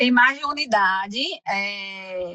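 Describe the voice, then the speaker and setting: A woman with a Recife accent speaks at a very slow pace, her pitch varying in an ordinary way. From Brazil, Recife (Pernambuco). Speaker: immigrant community center counselor. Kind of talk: podcast interview. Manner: halting, many fillers and restarts.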